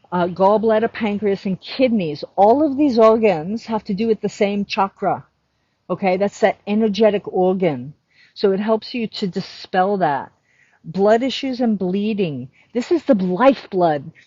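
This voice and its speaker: Her voice is somewhat breathy and medium-pitched, with an animated tone and lively intonation. The woman speaks at a fairly slow pace. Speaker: essential oils seller. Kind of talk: product presentation video.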